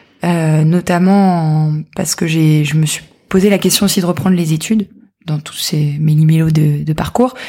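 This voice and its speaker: A woman talks at a fairly slow pace, her pitch very deep and low. Noticeable background noise runs underneath. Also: fairly even intonation. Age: 20s. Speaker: entrepreneur, handbag brand founder. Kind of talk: interview conversation. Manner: hesitant, repeats words.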